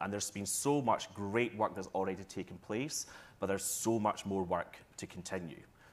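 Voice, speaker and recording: A man with a Scottish accent, fairly low in pitch with ordinary pitch variation, on a very clean recording with a silent background. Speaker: tourism marketing executive. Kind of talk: panel discussion. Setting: stage with audience.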